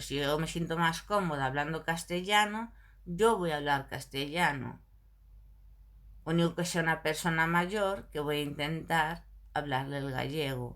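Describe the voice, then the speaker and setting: A woman speaks with a Galician accent. Her pitch is very deep and low. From Galicia, Spain. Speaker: video blogger. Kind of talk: casual monologue to camera. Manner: animated.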